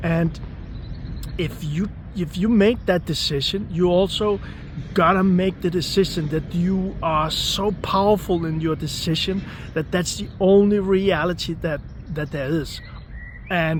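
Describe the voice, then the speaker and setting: Over noticeable background noise, a man with a non-native accent talks at a fairly slow pace in a high voice with ordinary pitch variation. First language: not English. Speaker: manifestation coach. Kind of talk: motivational talk. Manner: repetitive, emphatic.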